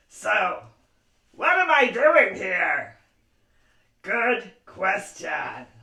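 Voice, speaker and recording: In a cartoonish character voice pitched extremely high, a man talks at a very slow pace with long, frequent pauses. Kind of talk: puppet show hosting for kids. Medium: puppet.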